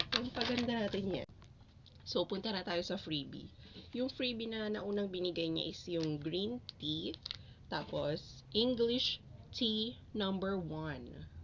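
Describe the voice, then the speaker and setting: At a very slow pace, a woman speaks with a medium pitch and lively intonation. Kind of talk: casual unboxing talk to camera.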